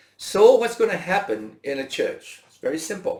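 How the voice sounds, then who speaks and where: A man is speaking. His pace is moderate. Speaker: doctor and church leadership speaker. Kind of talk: webinar talk. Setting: webinar. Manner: loud.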